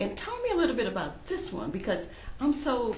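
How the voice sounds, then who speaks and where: Noticeable background noise is present. Over it, a woman speaks in a warm, enthusiastic tone. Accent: American. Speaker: talk show host. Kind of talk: interview host questions.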